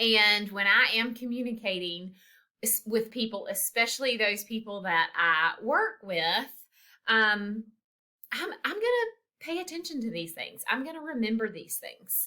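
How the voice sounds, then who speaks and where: A woman talks at a fairly slow pace with lively intonation and a bright, sharp tone. Her loudness swings widely. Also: fairly high pitch for a woman. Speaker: college instructor. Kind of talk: recorded lecture. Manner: casual, many filler ums.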